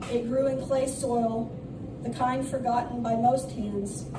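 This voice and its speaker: Noticeable background noise surrounds a woman who talks at a fairly slow pace. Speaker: poet. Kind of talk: spoken word poetry reading. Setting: live open mic in a coffee shop.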